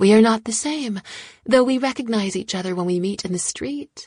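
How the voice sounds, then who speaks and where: Using a put-on character voice at a medium pitch, a woman speaks at a moderate pace. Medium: read story. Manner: cool, detached.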